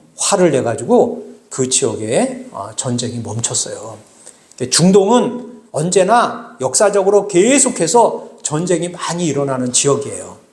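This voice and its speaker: Amid noticeable background noise, a man talks very slowly at high pitch, with very wide pitch swings and big swings in loudness. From South Korea, Bucheon (Gyeonggi). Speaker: pastor. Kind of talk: sermon. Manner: halting, many filler sounds; conversational, addressing congregation.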